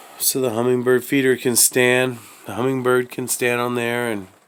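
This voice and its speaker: Noticeable background noise accompanies a man whose medium-pitched voice holds a moderate pace. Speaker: hobbyist maker. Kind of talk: casual show-and-tell tutorial.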